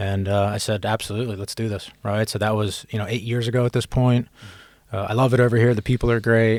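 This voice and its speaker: A man with an American accent talks at a very fast pace in a medium pitch, his intonation monotone and flat, on a very clean recording with a silent background. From US East Coast, Philadelphia. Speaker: tech sales executive. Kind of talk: podcast interview.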